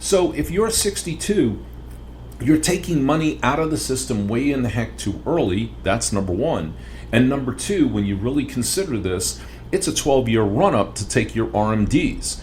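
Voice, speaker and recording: A man at a moderate pace, with audible room echo. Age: 60s. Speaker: financial educator podcast host. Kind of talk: podcast monologue.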